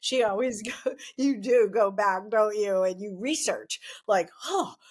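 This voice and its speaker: A woman with a fairly high pitch uses an ordinary speaking voice and ordinary pitch variation. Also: fairly slow pace. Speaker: past-life regression therapist; podcast host. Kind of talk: podcast interview introduction.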